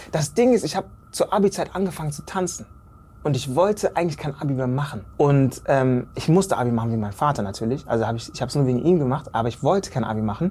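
Very fast and somewhat breathy, a man talks in a dark, mellow tone. His intonation is lively. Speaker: actor and choreographer. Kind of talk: casual interview. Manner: animated.

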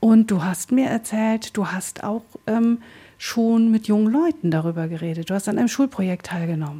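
Somewhat breathy and dark, mellow in tone, a woman's fairly high voice moves at a moderate pace with lively intonation. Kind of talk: radio interview.

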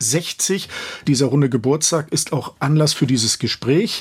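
Somewhat breathy, a man talks at a fairly slow pace and fairly high pitch with ordinary pitch variation. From Schwerin, Mecklenburg. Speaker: radio host. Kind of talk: radio interview.

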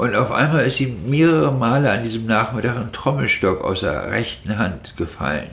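Noticeable background noise and audible room echo surround a man speaking at a fairly slow pace, his medium pitch making very wide swings. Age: 50s. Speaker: long-term drug addict, former night-shift hospital aide. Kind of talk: interview testimony. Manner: hesitant with fillers.

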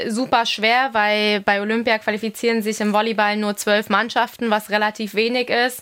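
Her delivery is monotone and flat, and this woman keeps her loudness very even. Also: hardly any pauses. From Munich, Bavaria. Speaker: professional volleyball player. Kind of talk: interview.

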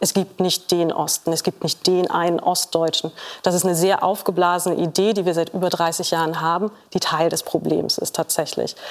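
A woman with a fairly low pitch talks at a moderate pace in a monotone, flat intonation, her loudness very even. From Saxony-Anhalt, eastern Germany. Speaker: sociologist. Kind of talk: TV panel discussion. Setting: TV studio with audience.

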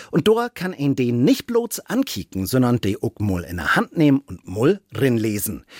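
A man speaks at a moderate pace with very wide pitch swings, his dry, close sound carrying no echo in a very clean recording with a silent background. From Hamburg. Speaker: radio host.

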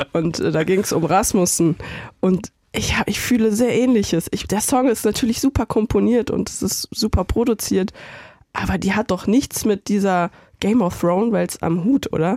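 A woman speaks at a moderate pace and medium pitch with ordinary pitch variation and a dark, mellow tone, in a dry, close sound with no echo on a very clean recording with a silent background. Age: 30s. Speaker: editorial writer and video director. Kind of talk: casual chat. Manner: animated.

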